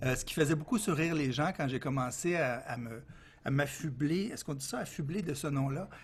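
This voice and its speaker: Fairly quick and somewhat breathy, a man with a Quebec accent speaks at a fairly high pitch with ordinary pitch variation. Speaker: consultant. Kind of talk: interview.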